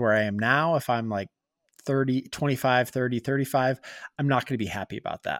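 A man speaks in a plain, everyday voice at medium pitch with ordinary variation. The sound is dry and close with no echo, in a very clean recording with a silent background. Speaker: podcast co-host, gaming dad. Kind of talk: casual chat.

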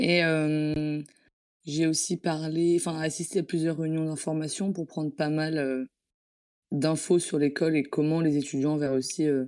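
A woman speaks with a very deep, low pitch and a dark, mellow tone, leaving long, frequent pauses in fairly even intonation. The recording is very clean, with a silent background. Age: 20s. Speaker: student. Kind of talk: mock job interview coaching.

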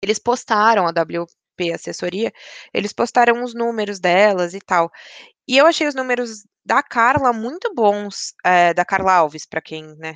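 A woman with an unremarkable speaking voice and medium pitch, at a fairly slow pace, in a dry, close sound with no echo and a quiet background. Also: lively intonation. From São Paulo, Brazil. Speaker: podcast host. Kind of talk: casual chat.

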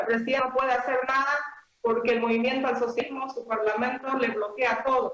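This is a woman speaking. Her pitch is high. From Bolivia, Santa Cruz (San Ramón). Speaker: Senate candidate, teacher. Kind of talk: political interview. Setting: phone call.

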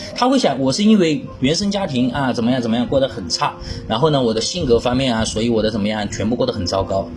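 Music plays in the background as a man speaks with very wide pitch swings amid audible room echo. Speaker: speech therapist for stuttering. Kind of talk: lecture.

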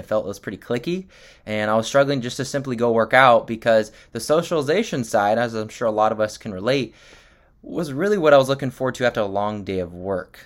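On a very clean recording with a silent background, a man talks at a medium pitch and a fairly quick pace with ordinary pitch variation. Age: 20s. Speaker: physical therapist and nutrition coach. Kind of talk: solo podcast monologue.

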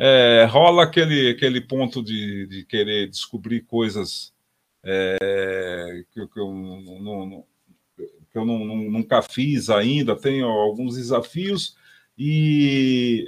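A man speaks very slowly at a medium pitch with ordinary pitch variation. His loudness swings widely. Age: 60s. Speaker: drummer and music teacher. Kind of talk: casual interview with drum demonstrations. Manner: halting, many repetitions.

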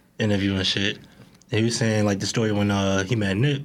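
Fairly quick speech from a man with a fairly low pitch, against noticeable background noise. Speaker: podcast host. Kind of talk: casual banter, comedy podcast chat.

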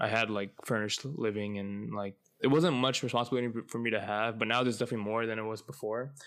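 Delivery comes at a very fast pace. The intonation stays fairly even. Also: man. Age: 20s. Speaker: podcast host. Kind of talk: casual solo podcast monologue.

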